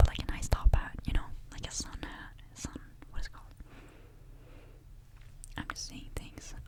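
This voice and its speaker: Over noticeable background noise, someone whispers at a moderate pace, with long, frequent pauses. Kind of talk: ASMR perfume review, casual talk to camera. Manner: soft, quiet ASMR delivery.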